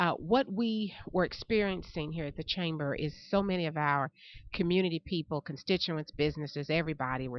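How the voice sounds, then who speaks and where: A woman with a fairly low voice talks at a moderate pace, her intonation lively. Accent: Tennessee. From US South. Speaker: chamber of commerce education director. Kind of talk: interview. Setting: on location.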